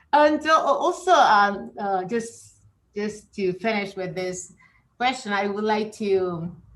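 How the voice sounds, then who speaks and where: A woman with a Spanish accent at medium pitch and a fairly slow pace. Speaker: professor. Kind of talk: interview. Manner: halting, many fillers and repetitions.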